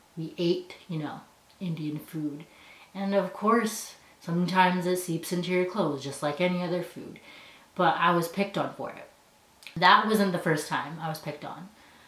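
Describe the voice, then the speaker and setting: With a Canadian accent, a woman speaks at a fairly low pitch and with fairly even intonation, and audible room echo surrounds her voice. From Canada. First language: Punjabi. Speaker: university student. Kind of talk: personal storytelling.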